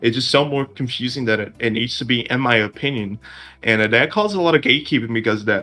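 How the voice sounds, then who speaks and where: In a Portuguese accent, a man speaks at a very fast pace with a bright, sharp tone, a medium pitch and ordinary pitch variation. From Brazil. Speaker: discord admin, podcast co-host. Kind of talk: casual chat.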